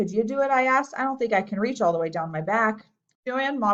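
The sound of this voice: An unforced reading voice with lively intonation against a quiet background.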